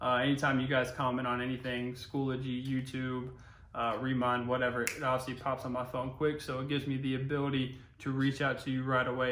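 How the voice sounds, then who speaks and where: In a very fast, monotone delivery with flat intonation, a man with an American accent speaks at medium pitch amid noticeable background noise and audible room echo. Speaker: high school history teacher. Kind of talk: recorded online lecture. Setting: home recording during quarantine. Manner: casual, conversational.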